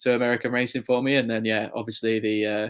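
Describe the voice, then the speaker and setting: A man with an English accent speaks at a fairly quick pace in a monotone, flat intonation on a very clean recording with a silent background. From England, near Chester. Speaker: motorsport journalist. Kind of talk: interview. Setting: podcast interview.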